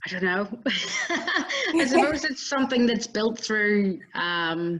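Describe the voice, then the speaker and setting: In a Northern Irish accent, a woman speaks at a very slow pace, her fairly high voice making very wide pitch swings. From Northern Ireland. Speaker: entrepreneur and inventor. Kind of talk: interview. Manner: calm.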